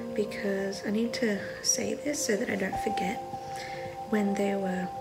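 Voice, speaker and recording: Over loud background music, a woman talks at a fairly slow pace. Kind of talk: casual vlog chat. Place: home room. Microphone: phone near.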